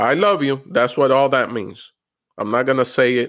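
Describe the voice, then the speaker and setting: A man's plain, everyday voice at medium pitch and a fairly quick pace, on a very clean recording with a silent background. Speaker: comedian. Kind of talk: casual chat.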